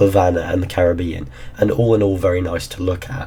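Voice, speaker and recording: A man talks at a moderate pace in a very deep, low voice with ordinary pitch variation. There is noticeable background noise. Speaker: gaming YouTuber. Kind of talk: casual talk to camera.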